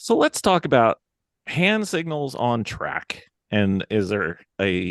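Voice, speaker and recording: With an American accent, a man speaks very slowly with very wide pitch swings, in a dry, close sound with no echo. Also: medium pitch for a man. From New Jersey, summers in North Carolina. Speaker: podcast host. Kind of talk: casual chat.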